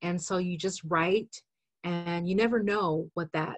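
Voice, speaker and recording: A woman speaks at a fairly slow pace with a fairly low pitch. Her voice is somewhat breathy, and the sound is dry and close with no echo. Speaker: caregiver educator. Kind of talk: webinar conversation. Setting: webinar.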